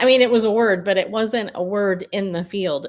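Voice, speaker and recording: An unremarkable speaking voice moves at a moderate pace with ordinary pitch variation. The recording is very clean and the background silent. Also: woman. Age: 50s. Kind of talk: live stream commentary. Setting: live stream. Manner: casual, with frequent fillers.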